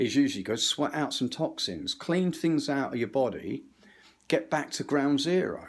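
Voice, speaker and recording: A man speaks at a moderate pace with an English accent. His intonation is lively. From England. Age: 60s. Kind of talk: rambling monologue. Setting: kitchen. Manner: animated.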